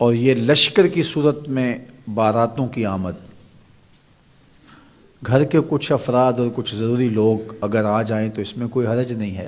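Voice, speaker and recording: A man with an unremarkable speaking voice at a medium pitch. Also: ordinary pitch variation. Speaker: Islamic preacher. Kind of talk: religious sermon (bayan) on marriage customs.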